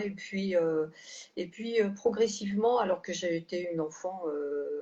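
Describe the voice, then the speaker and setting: A woman speaks at a fairly slow pace with medium pitch. Her pitch variation is ordinary. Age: 60s. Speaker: health care manager, former nurse. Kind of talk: testimony. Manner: halting, many hesitations.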